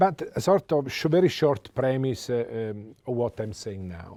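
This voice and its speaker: Speaking at a fairly slow pace with an Italian accent, a man has a dark, mellow tone and lively intonation on a very clean recording with a silent background. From Italy. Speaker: economist. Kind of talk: lecture. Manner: halting.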